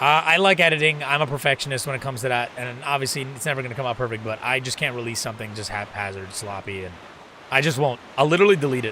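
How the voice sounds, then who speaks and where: At a very fast pace, a man of medium pitch with ordinary pitch variation talks over noticeable background noise. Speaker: gaming streamer. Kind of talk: casual live-stream chat while gaming. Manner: fast talker; animated.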